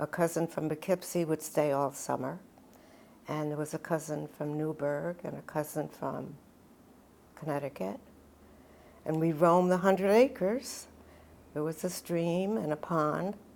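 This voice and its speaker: This woman speaks with an American accent, her pitch very deep and low, with ordinary variation. She talks at a moderate pace but leaves long, frequent pauses. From US Northeast, Dutchess County, New York. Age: 90s. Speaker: elderly local resident. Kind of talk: oral history interview. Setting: town hall room.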